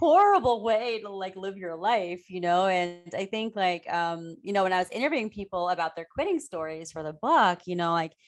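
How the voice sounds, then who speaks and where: A woman talks at a moderate pace with a medium pitch and ordinary pitch variation. She has an unremarkable speaking voice. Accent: American. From US Midwest, Ohio. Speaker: author and improv coach. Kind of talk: podcast interview. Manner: casual, filler-heavy.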